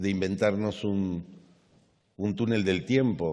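A man with a dark, mellow tone and fairly low pitch talks at a fairly slow pace. The background is quiet. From Argentina. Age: 50s. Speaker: government official; government official on a panel. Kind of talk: conference speech. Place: stage.

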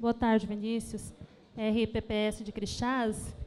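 Her voice is fairly high for a woman yet carries a dark, mellow tone. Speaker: pension fund legal staff. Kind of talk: audience question.

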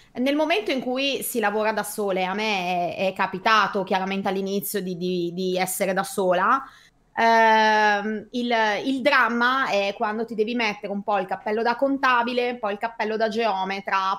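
Speaking fairly slowly, a woman keeps her intonation fairly even. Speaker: host of online meeting for condominium administrators. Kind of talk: casual chat, live stream. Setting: online video stream. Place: home room.

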